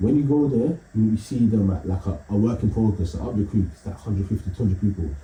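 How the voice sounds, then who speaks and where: A man talks at a very fast pace with lively intonation. His pitch is fairly low. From East London. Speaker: comedian. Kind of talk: casual chat.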